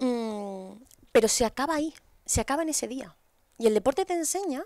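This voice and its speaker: Against a quiet background, the voice moves at a fairly quick pace with very wide pitch swings and a dry sound with no echo. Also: woman. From Spain, Asturias. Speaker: podcast guest. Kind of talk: casual interview. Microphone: headset.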